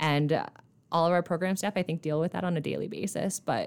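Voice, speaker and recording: A woman with an Upper Midwest accent speaks at a moderate pace with fairly even intonation, in a very clean recording with a silent background. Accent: Upper Midwest American. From eastern South Dakota. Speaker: nonprofit fundraising director. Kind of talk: casual interview.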